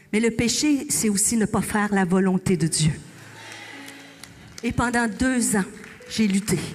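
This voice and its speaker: Noticeable background noise runs under the recording. A woman speaks at a fairly slow pace and medium pitch with ordinary pitch variation. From Quebec. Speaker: pastor. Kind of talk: sermon. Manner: animated.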